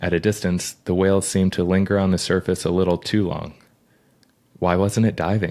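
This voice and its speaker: Over a silent background in a very clean recording, a man speaks at a fairly quick pace with a very deep, low pitch and flat, monotone intonation. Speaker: birder and author. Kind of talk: reading aloud from own book.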